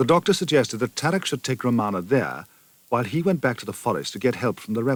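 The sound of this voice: Here is an unforced reading voice carrying lively intonation.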